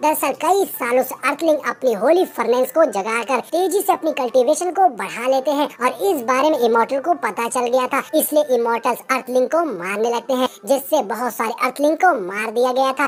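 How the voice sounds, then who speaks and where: A female-sounding voice does a put-on character voice at a high pitch. Light background noise sits behind it. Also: moderate pace, hardly any pauses. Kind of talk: movie explanation narration. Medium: read story. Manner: brisk, chatty.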